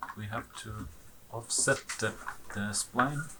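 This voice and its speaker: This man has a medium pitch and a non-native accent, with noticeable background noise behind him. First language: not English. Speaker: 3D animation tutorial maker. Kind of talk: tutorial. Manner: halting, with frequent fillers; casual.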